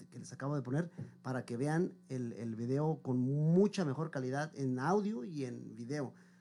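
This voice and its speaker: Intonation moves in a lively way. The voice has a dark, mellow tone. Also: man. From Mexico, Michoacán. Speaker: singer. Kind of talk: interview.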